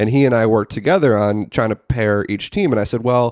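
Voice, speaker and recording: A man with an American accent and a plain, everyday voice at medium pitch, ordinary pitch variation and a fairly quick pace, in a dry, close sound with no echo over a quiet background. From Chicago, US. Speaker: sports writer and Everton fan. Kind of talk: casual chat. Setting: video call.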